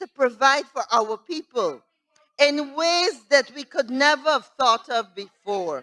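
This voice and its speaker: A woman speaks at a fairly slow pace in a raised, projected voice with a bright, sharp tone. Her high pitch swings very widely, and the sound is dry and close with no echo. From Guyana. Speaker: member of parliament. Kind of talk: parliamentary budget debate speech. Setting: parliament chamber. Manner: formal.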